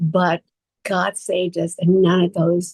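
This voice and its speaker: A woman speaks with an American accent, her pitch fairly low and her voice somewhat breathy. Her delivery is flat and monotone at a fairly slow pace, with a dry, close sound and no echo. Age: 70s. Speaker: actress and talent manager. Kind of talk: interview storytelling.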